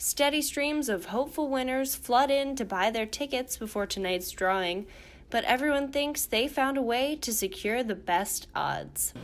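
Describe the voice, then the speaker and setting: A woman with an American accent has a plain, everyday voice. Her intonation is lively. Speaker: TV news reporter and anchor. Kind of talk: local TV news anchor delivery.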